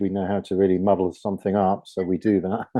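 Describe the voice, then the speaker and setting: With a British accent, a man speaks at a fairly quick pace in a fairly low pitch. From southern England. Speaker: author. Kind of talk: panel discussion. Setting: studio. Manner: halting.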